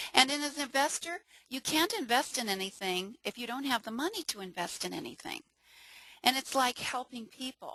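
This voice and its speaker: A woman with a high pitch speaks at a moderate pace in a raised, projected voice with a bright, sharp tone. Her intonation is lively and her tone enthusiastic, the sound dry and close with no echo. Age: 60s. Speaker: network marketing presenter. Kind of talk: webinar sales pitch. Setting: webinar.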